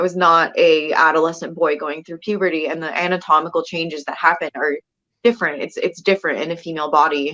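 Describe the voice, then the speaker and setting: A woman with a raspy, fairly low voice and a bright, sharp tone talks at a very fast pace with fairly even intonation. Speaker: detransitioner sharing experience. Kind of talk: interview testimony. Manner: halting, many fillers.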